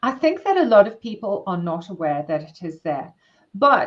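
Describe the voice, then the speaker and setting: The speaker is a woman in a South African accent. She keeps a moderate pace. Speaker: workplace wellbeing consultant and therapist. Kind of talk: interview.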